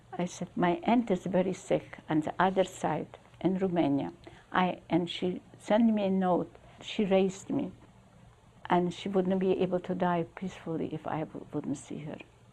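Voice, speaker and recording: Her voice has a dark, mellow tone, medium pitch, ordinary pitch variation and a moderate pace. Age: 80s+. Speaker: Holocaust survivor. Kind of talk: interview answer. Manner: pensive, vivid storyteller.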